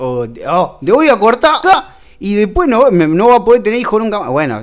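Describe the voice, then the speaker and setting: Speaking with very wide pitch swings, a man talks. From Rosario, Argentina. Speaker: illustrator. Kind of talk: casual chat. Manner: halting.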